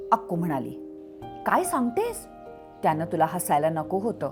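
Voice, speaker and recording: Music plays behind a woman's voice. Her pitch swings very widely. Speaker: children's storyteller. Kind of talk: children's story read-aloud. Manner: high-energy, expressive.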